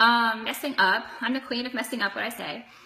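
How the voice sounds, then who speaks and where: A woman talks at a fairly high pitch amid noticeable background noise. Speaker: direct sales consultant. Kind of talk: live video tutorial. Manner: fast; animated.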